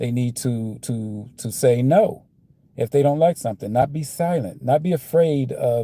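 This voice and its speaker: A man with an American accent speaks at a fairly slow pace in a medium pitch with ordinary pitch variation. His voice is somewhat breathy, with a dark, mellow tone. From United States. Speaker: vlogger. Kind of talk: casual monologue. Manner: slurring; halting.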